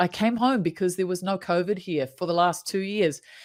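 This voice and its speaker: The woman's pitch varies in an ordinary way. The recording is very clean, with a silent background. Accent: New Zealand. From New Zealand. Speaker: happiness coach. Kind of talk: casual interview.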